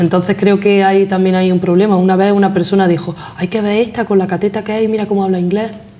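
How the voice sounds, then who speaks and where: A woman speaks at a very fast pace with hardly any pauses, her intonation monotone and flat and her loudness very even. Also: medium pitch for a woman. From Granada, Andalusia. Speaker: interview guest. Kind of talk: interview.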